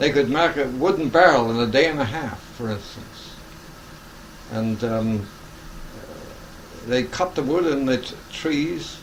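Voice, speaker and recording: Pausing long and often, a man talks fairly slowly at medium pitch with ordinary pitch variation, amid noticeable background noise and audible room echo. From southwest England, Devon. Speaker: elderly interviewee. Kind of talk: oral history interview. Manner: halting.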